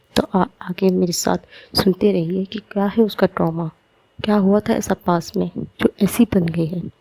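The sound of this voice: This clip features an unforced reading voice.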